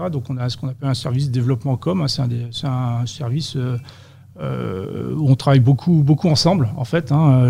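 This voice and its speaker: The delivery moves at a moderate pace with ordinary pitch variation. Noticeable background noise runs underneath. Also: man. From western France, Vendée. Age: 40s. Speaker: sales and customer service professional. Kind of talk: interview.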